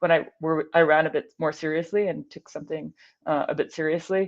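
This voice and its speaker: Fairly low in pitch, a woman with an American accent speaks at a moderate pace with fairly even intonation. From Scotland, Glasgow. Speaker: aerospace engineer and ultrarunner. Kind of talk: casual interview.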